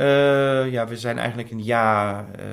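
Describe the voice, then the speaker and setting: In a German accent, a man speaks at a fairly slow pace. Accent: German accent in Dutch. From Germany. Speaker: intended father. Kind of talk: interview.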